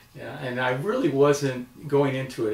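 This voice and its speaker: Speaking fairly slowly at a medium pitch, a man is heard with audible room echo. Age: 60s. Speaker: cancer patient. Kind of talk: testimony. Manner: halting.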